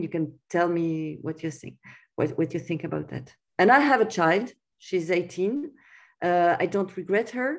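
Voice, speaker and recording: A woman with a French accent speaks at a fairly slow pace, her pitch fairly low with ordinary variation. The background is quiet. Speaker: writer. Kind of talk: interview. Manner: halting.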